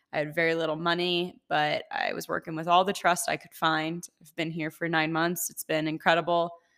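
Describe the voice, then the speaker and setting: The speech moves at a fairly quick pace with hardly any pauses. Loudness swings a lot, and the recording is very clean with a silent background. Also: woman, fairly low pitch for a woman. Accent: US Midwestern. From Ohio, US Midwest. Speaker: podcast host and mindset coach. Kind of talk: casual solo podcast monologue. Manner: animated.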